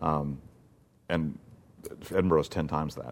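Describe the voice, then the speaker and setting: In an American accent, a man with a very deep, low voice and vocal fry keeps his intonation fairly even. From US South, Mississippi. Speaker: theater producer and playwright. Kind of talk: interview. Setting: theater.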